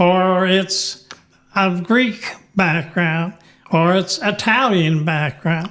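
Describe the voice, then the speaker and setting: Delivered at a very slow pace with long, frequent pauses, the speech keeps very even loudness and ordinary pitch variation. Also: man. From Pittsburgh, Pennsylvania. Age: 90s. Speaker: elderly local resident. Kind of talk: interview. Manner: halting.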